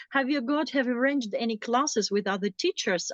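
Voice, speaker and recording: A woman's fairly quick speech with a non-native accent and lively intonation. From former Soviet Union. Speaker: interviewer and language host. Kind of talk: casual interview. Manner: halting, many fillers and self-corrections.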